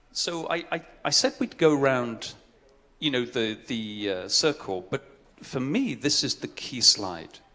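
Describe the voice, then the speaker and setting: Lively intonation from a man speaking at a fairly slow pace. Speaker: conference speaker on social impact. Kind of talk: conference presentation. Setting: stage with audience.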